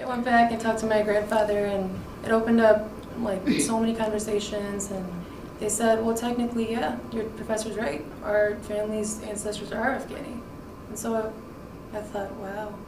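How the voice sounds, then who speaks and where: Monotone, flat speech comes at a moderate pace amid noticeable background noise and audible room echo. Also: woman, fairly high pitch for a woman. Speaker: university student. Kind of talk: interview testimony.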